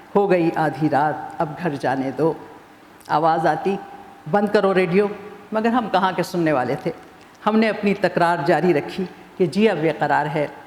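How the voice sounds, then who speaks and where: Noticeable background noise behind a woman's fairly low pitch, with ordinary pitch variation. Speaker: author and former TV newsreader. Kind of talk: satirical prose reading.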